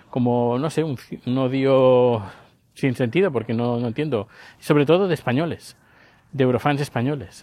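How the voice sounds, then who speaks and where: In a quiet background, a man speaks in a medium pitch. His pace is moderate, broken by long, frequent pauses. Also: ordinary pitch variation. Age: 50s. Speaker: podcaster. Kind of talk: casual monologue vlog. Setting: outdoors, walking the dog. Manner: halting, with many fillers.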